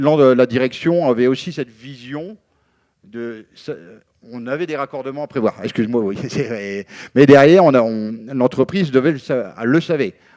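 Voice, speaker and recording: A man speaks at a moderate pace in a medium pitch with ordinary pitch variation and a dark, mellow tone. The sound is dry and close with no echo. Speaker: union representative. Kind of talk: panel debate. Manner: halting, many fillers.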